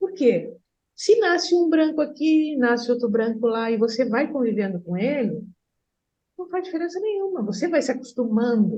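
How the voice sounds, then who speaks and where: A woman's high voice at a moderate pace, full of very wide pitch swings. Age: 60s. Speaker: therapist. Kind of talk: group discussion.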